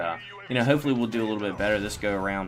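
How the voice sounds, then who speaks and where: Over noticeable background noise, a man with a Southern US accent speaks at a fairly low pitch. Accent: country-sounding Southern. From Virginia, Norfolk/Virginia Beach area. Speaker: gaming commentator. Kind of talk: gameplay commentary. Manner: halting, many fillers and repeats.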